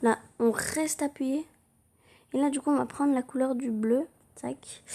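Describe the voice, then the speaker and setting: Her voice is high-pitched with a dark, mellow tone, and this woman speaks at a fairly slow pace with fairly even intonation. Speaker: drawing tutorial youtuber. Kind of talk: tutorial.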